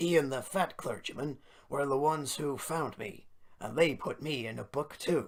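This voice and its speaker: A put-on character voice at low-to-middle pitch and moderate pace, in a very clean recording with a silent background. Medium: read story.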